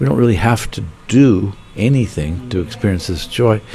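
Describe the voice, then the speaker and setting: A man's fairly low-pitched voice with an American accent, lively intonation and a moderate pace, over noticeable background noise. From Pittsburgh, Pennsylvania, US. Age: 70s. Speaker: meditation teacher. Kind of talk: interview.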